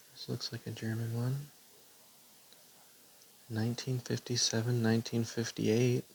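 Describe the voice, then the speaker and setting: A man speaks at a moderate pace and medium pitch, somewhat breathy, with monotone, flat intonation. Long, frequent pauses break up his speech. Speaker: stamp collector. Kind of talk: casual talk to camera. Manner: soft-spoken.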